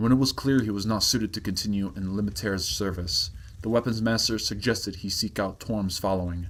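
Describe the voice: Here the reading aloud is plain. Intonation stays fairly even.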